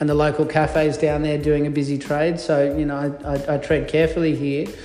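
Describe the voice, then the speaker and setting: Against noticeable background noise and audible room echo, a man with an Australian accent talks at a moderate pace, fairly high in pitch, with fairly even intonation. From northern New South Wales, Australia. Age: 40s. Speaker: baker and bakery co-owner. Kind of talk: casual interview chat. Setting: in a cafe.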